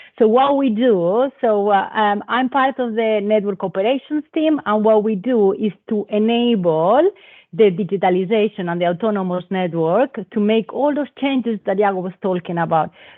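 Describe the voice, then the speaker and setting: A woman's fairly high voice in a Spanish accent, moderately paced, with ordinary pitch variation. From Spain. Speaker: telecom operations manager. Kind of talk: panel talk. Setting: live event with audience.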